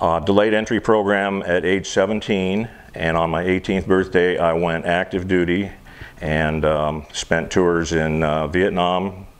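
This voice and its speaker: Speaking in an American accent, a man with a very deep, low pitch moves at a fairly slow pace with very even loudness and fairly even intonation, with noticeable background noise behind him. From US, military family; northern Michigan and Washington State. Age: 60s. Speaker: war veteran. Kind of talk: interview.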